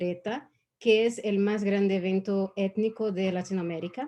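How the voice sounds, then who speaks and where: At a fairly slow pace, a woman talks at a medium pitch with a dark, mellow tone and fairly even intonation. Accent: Brazilian. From Brazil. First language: Portuguese (speaking Spanish). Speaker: diversity and inclusion consultant. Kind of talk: online panel talk.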